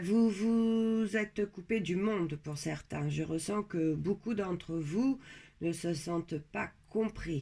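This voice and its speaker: Her tone dark and mellow, a woman of fairly low pitch speaks at a very slow pace with ordinary pitch variation. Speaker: tarot card reader. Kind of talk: tarot reading. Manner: trying to speak louder; hesitant, many fillers.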